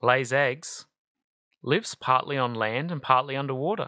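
The voice has an Australian accent and a calm, soothing tone at a fairly slow pace. The recording is very clean, with a silent background. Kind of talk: children's book read-aloud.

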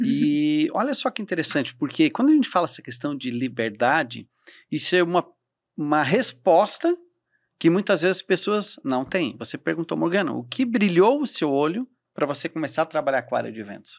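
Fairly quick speech with very wide pitch swings against a quiet background. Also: man, fairly high pitch for a man. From Santa Catarina, southern Brazil. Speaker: events entrepreneur and mentor; podcast co-guest or host. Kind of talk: podcast interview. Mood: warm, animated, faith-inspired. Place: studio. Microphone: studio mic.

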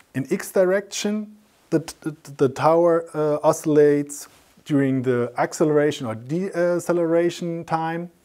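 A dark, mellow tone with ordinary pitch variation, at a fairly slow pace in a quiet background. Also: man. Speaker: presenter. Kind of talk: technical presentation. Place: studio.

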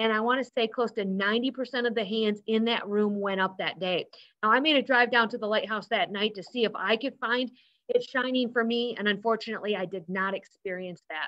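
Against a quiet background, a woman speaks at a moderate pace with fairly even intonation. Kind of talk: lecture. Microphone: webcam.

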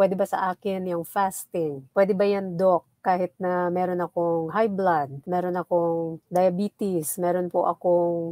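This woman's voice sits fairly low, with a dark, mellow tone and a fairly slow pace. The sound is dry, with no echo. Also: quiet background. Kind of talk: health explainer talk to camera. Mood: calm, explaining. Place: home room. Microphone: earbuds.

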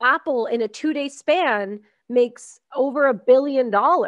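A woman with a Canadian accent, high-pitched, with lively intonation, against a quiet background. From Canada. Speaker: podcast host and military veteran; podcast host. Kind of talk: casual interview. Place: home room. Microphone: studio mic.

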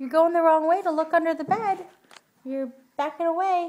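This woman's voice sits at an extremely high pitch. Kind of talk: coaxing baby talk. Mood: playful, encouraging. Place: home room. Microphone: phone near.

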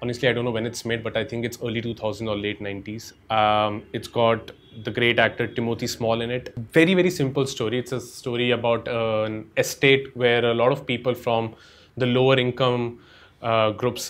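At a moderate pace, a man talks with fairly even intonation. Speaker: guest. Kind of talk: casual commentary. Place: home room.

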